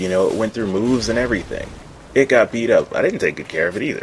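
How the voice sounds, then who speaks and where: A man's medium-pitched voice is heard with noticeable background noise around it. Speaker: gaming commentator. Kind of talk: gameplay commentary.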